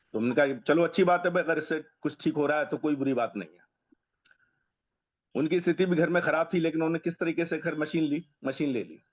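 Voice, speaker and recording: Using an ordinary speaking voice, a man speaks with fairly high pitch, ordinary pitch variation and big swings in loudness. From Delhi, India. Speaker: customer giving a testimonial. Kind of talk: testimony.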